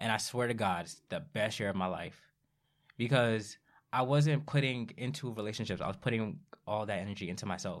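A man talks at a fairly quick pace in an unremarkable speaking voice. His pitch varies in an ordinary way. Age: 20s. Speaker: podcast co-host. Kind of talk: casual chat. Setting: studio.

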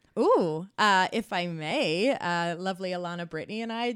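A woman's fairly low-pitched voice with ordinary pitch variation at a moderate pace, on a very clean recording with a silent background. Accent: Australian. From Australia, New South Wales. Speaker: comedy producer and manager. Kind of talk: casual interview chat.

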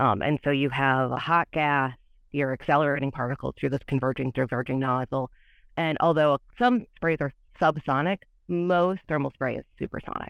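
A woman with an American accent and a very deep, low voice, ordinary pitch variation, a moderate pace, a quiet background and dry, close sound with no echo. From US Midwest, Michigan. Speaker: materials scientist. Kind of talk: technical interview.

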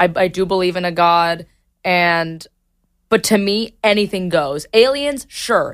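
In a normal speaking voice with ordinary pitch variation, the speaker goes at a fairly slow pace on a very clean recording with a silent background. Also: woman, medium pitch for a woman. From Miami, Cuban-American family. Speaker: comedy video creator. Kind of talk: casual interview chat. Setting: studio.

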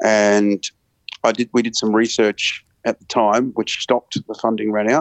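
A fairly low-pitched man with an Australian accent, monotone and flat in intonation, at a moderate pace. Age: 40s. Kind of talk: interview.

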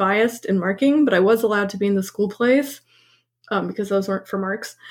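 With an American accent, a woman talks in a somewhat breathy voice with fairly even intonation. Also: very clean recording, silent background. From Montreal, Quebec (some childhood in New York). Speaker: actor and writer. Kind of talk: casual chat. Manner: hesitant, many fillers.

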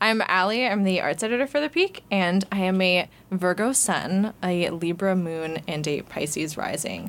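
An ordinary speaking voice at a moderate pace, with hardly any pauses. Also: woman, medium pitch for a woman, ordinary pitch variation. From Vancouver, Canada. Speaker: student newspaper arts editor, podcast host. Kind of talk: casual chat.

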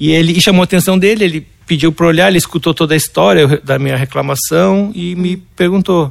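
A man talks at a fairly quick pace in a fairly high pitch with ordinary pitch variation, in a normal speaking voice. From Brazil, Porto Alegre. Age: 50s. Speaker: illustrator and artist. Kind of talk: interview.

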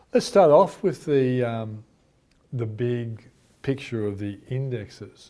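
With an Australian accent, a man talks very slowly at medium pitch, his tone dark and mellow and his intonation lively. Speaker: finance show host. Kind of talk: interview; show introduction.

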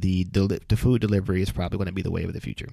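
The man's tone is animated. The recording is very clean, with a silent background. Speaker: podcast co-host. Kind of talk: casual chat. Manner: jokey, animated.

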